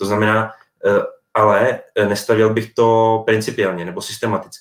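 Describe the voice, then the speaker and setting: Moderate-paced speech from a man, fairly low in pitch, flat and monotone in intonation. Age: 30s. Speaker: sports journalist. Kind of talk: casual chat.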